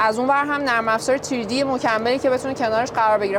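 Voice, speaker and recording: A woman speaks at a fairly high pitch with fairly even intonation. Audible room echo and noticeable background noise fill the recording. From Iran, Azeri family. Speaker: type designer and 3D artist. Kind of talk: interview.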